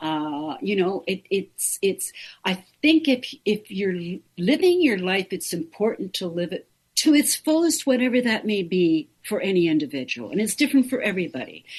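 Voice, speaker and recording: Somewhat breathy, a woman of medium pitch speaks at a moderate pace with very wide pitch swings against a quiet background. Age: 70s. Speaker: make-up artist and hair stylist. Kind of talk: interview answer.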